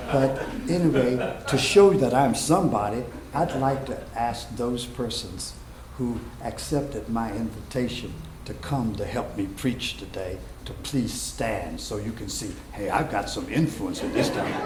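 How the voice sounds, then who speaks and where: A man speaks fairly slowly at a medium pitch with ordinary pitch variation. Room echo and noticeable background noise can be heard. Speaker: pastor. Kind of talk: sermon. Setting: church.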